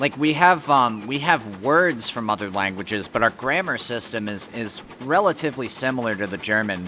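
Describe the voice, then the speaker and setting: A man with a New England accent, medium pitch, lively intonation and a moderate pace, over noticeable background noise. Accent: American, New England. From Connecticut, US. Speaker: game streamer. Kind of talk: casual chat. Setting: live stream. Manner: halting, many fillers.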